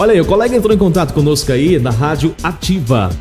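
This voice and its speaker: Against clear music in the background, a man at a fairly high pitch speaks at a fairly quick pace in an upbeat, energetic tone with very wide pitch swings. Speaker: radio voice-over announcer / jingle producer; radio announcer. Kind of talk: casual talk to camera promoting his recording services. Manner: upbeat, energetic, friendly. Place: studio. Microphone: studio mic.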